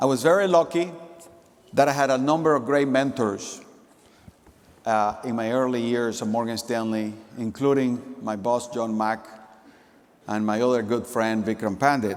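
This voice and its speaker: Audible room echo surrounds a man who talks at a moderate pace with long, frequent pauses, a medium pitch and ordinary pitch variation. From Nicaragua. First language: Spanish. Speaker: company executive. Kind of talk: conference keynote speech. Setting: stage with audience.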